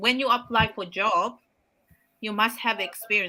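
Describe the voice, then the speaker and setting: In a Samoan accent, a woman with a fairly high pitch and a bright, sharp tone speaks at a moderate pace with ordinary pitch variation. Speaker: healthcare worker and online business owner. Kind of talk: casual chat.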